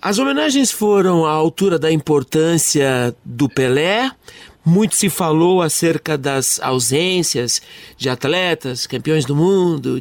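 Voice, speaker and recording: A man with a normal speaking voice, fairly high pitch and ordinary pitch variation, at a fairly slow pace with very even loudness, in a dry, close sound with no echo. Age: 50s. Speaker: radio host. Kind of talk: radio interview.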